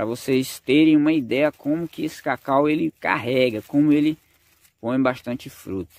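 A man speaks in a plain, everyday voice with ordinary pitch variation and a dry sound with no echo. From rural Brazil, cacao region. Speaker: farming YouTuber. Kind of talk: casual vlog narration. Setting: outdoors on a farm. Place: forest. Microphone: phone near.

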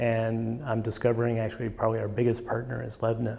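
Speaking at a fairly quick pace, a man delivers his words. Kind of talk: interview answer. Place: studio. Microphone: lapel.

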